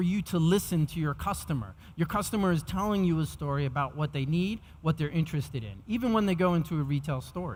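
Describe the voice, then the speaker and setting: Someone with an American accent speaks at a fairly quick pace with ordinary pitch variation. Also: man. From New York. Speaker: technology executive speaking at a conference. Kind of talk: conference keynote presentation. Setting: stage with audience. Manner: fast.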